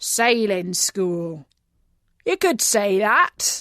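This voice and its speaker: A woman's put-on character voice, growling and raspy, at a medium pitch. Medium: read story. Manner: gruff, curt.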